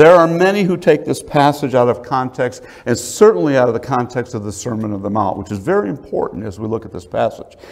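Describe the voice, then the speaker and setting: Against a quiet background, the speaker talks at a fairly quick pace with very wide pitch swings. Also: man. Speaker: preacher. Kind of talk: sermon. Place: church.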